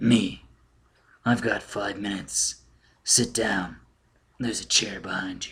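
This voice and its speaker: Using a put-on character voice, a man speaks raspily and fairly slowly, with fairly even intonation, big swings in loudness, and long, frequent pauses. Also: medium pitch for a man. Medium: read story. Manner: dry.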